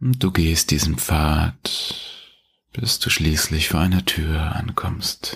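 In a gentle, warm tone, a man with a very deep, low pitch speaks at a very slow pace with ordinary pitch variation and very even loudness. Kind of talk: guided meditation. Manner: slow, calm, soothing, with long pauses; gentle, warm, addressing listener as du.

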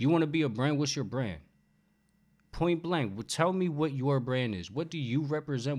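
A man with an American accent, fairly high-pitched, lively intonation, moderate pace, quiet background. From New York. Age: 30s. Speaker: barber. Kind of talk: casual chat. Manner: animated.

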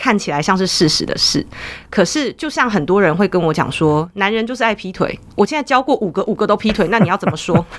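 A woman speaks with a Taiwanese accent at a medium pitch. Her intonation is lively and her pace fairly quick. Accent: Taiwanese Mandarin. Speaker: counseling psychologist. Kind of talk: interview.

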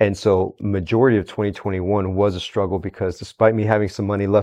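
Fairly low-pitched male speech in a Texan accent, fairly quick and monotone, with flat intonation. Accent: Texan American English. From Houston, Texas (Mexican-born parents). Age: 30s. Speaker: entrepreneur, bodybuilding event promoter, ex-paramedic. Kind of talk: casual chat. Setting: studio.

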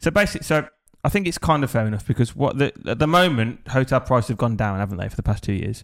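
A man speaks very fast in an English accent. His intonation is lively. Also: medium pitch for a man. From England. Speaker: podcast co-host. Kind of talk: casual chat. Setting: studio.

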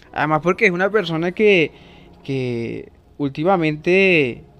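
A man's fairly high voice shows ordinary pitch variation. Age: 20s. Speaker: podcast host. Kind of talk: casual monologue. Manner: halting.

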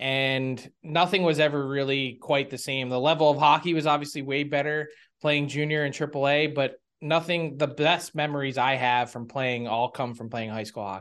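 Against a quiet background, a man with an American accent and an ordinary speaking voice talks at a moderate pace, fairly high in pitch with fairly even intonation. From Philadelphia area, US. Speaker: hockey insider and writer. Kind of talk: interview conversation.

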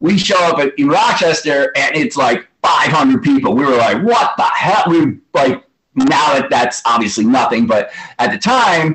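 Speaking in an American accent at a moderate pace, a man with a high voice keeps his loudness very even while his pitch swings very widely. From New York City. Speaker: hardcore punk musician. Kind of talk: interview.

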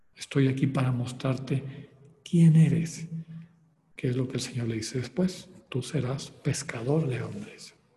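With long, frequent pauses, a man of medium pitch speaks at a fairly slow pace and ordinary pitch variation, and audible room echo surrounds him. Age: 60s. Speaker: spiritual retreat leader. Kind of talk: lecture.

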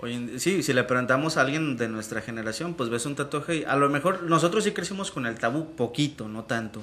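This man has an unremarkable speaking voice and talks at a fairly quick pace with hardly any pauses. His intonation is lively. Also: fairly high pitch for a man. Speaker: internet radio show host. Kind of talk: casual chat.

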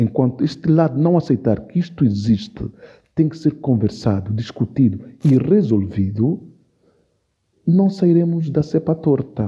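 A man speaks at a fairly slow pace in a fairly high, somewhat breathy voice. His tone is dark and mellow, and his intonation is lively. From São Tomé and Príncipe. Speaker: actor and storyteller. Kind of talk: interview.

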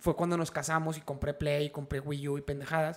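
A man at a very fast pace, with a Mexican accent. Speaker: podcast host. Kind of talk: casual chat, joke telling. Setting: livestream on Twitch.

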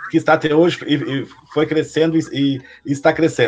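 There is noticeable background noise as a man talks. He has a fairly high pitch and a moderate pace. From Taquari, Rio Grande do Sul, Brazil. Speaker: podcast host. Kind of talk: interview. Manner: halting.

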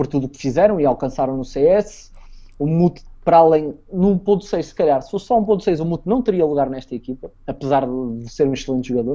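A man with a European Portuguese accent talks fairly quickly at a fairly high pitch, his tone dark and mellow. His intonation is lively and his loudness swings widely. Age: 20s. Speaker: former esports player. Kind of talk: interview. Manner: halting.

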